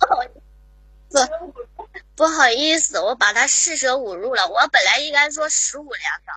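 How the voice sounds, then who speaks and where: The pitch swings very widely throughout. Delivery is fairly slow, with long, frequent pauses. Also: woman, high pitch for a woman. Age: 30s. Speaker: caller, show fan. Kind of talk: flirtatious banter call-in. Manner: giggly.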